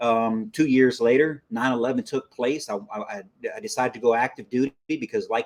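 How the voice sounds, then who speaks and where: Speaking at a fairly quick pace, a man with an American accent uses a normal speaking voice at medium pitch with ordinary pitch variation. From South Texas, US. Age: 40s. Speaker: army veteran. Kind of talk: interview.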